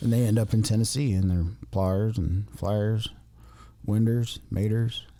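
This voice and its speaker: Speaking with an Appalachian accent, a man uses a fairly low, dark, mellow voice at a fairly slow pace, with fairly even intonation and very even loudness. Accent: Appalachian ridge runner speech. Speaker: podcast co-host. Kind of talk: casual chat. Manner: halting, many fillers.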